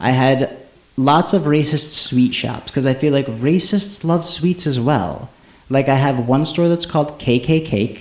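Against noticeable background noise, a man with a fairly high pitch talks at a fairly slow pace, his loudness very even. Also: ordinary pitch variation. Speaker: podcast host. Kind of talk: casual chat.

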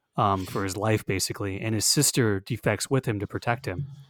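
A man with an American accent speaks at a moderate pace and fairly low pitch, in an unremarkable speaking voice. The recording is very clean, with a silent background. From Florida. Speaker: podcast co-host. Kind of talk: casual chat.

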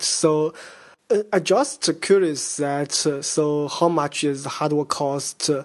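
A man with a Chinese accent and fairly high pitch against a quiet background. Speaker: conference interviewer. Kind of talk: interview. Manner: halting, repetitive.

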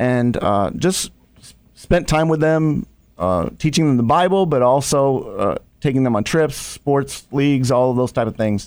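An unremarkable speaking voice from a man with an American accent, fairly high pitch, lively intonation and a fairly slow pace. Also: big swings in loudness. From Ohio. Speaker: nonprofit executive director. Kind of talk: radio interview. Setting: studio.

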